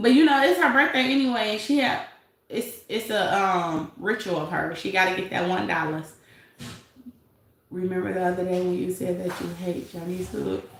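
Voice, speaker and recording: Audible room echo carries a woman's voice with a Detroit accent, lively intonation and a moderate pace. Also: medium pitch for a woman. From Detroit, US. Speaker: YouTube commentary livestreamer. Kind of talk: casual live-stream commentary.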